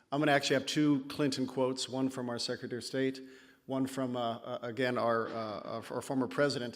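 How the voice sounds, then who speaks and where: Speaking at a very fast pace, a man with an American accent holds a medium pitch and fairly even intonation. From California. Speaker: conference speaker, PhD candidate. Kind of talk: conference talk. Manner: hesitant, with fillers.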